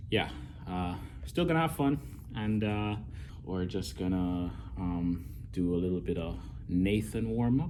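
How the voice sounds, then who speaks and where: A man speaks fairly slowly in a dark, mellow tone, with audible room echo around him. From Jamaica. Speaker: fitness vlogger. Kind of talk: casual vlog narration.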